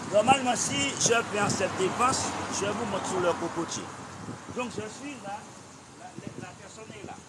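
Over loud background noise, a man speaks in a high pitch at a fairly slow pace, with long, frequent pauses. His pitch varies in an ordinary way while his loudness swings widely. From Martinique. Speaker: martial arts instructor. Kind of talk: tutorial. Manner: halting. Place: waterside. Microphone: camera far.

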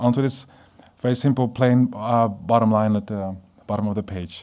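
In a Dutch accent, a man speaks with a dark, mellow tone and fairly even intonation. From Netherlands. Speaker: graphic designer. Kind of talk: lecture. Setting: stage with audience. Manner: halting. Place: hall. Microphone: podium.

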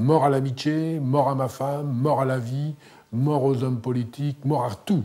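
A man speaks very slowly in a dark, mellow tone. His intonation stays fairly even, and his voice is somewhat breathy. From northern France. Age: 50s. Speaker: former prisoner and author. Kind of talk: testimony. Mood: grave, confessional. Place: home room.

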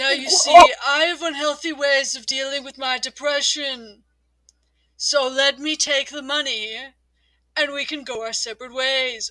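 In a put-on character voice, the speaker uses a high pitch at a moderate pace. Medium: fan dub. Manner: smug, sarcastic, bored menace.

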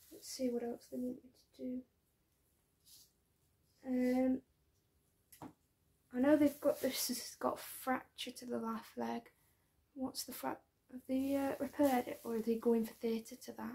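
A woman speaks softly at a fairly slow pace, her high voice dark and mellow in a relaxed tone. Her intonation is monotone and flat, broken by long, frequent pauses. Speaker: ASMR creator playing an ICU doctor. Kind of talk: ASMR medical roleplay. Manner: soft-spoken, relaxed. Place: home room. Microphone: phone near.

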